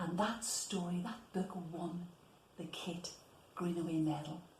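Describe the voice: A woman speaks at a fairly slow pace with a fairly low pitch and a slightly mellow tone. Her pitch varies in an ordinary way, and room echo is audible.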